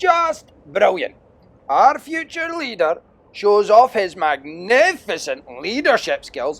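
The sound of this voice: A man puts on a character voice, high in pitch and fairly bright in tone, speaking at a slow pace with big pitch swings.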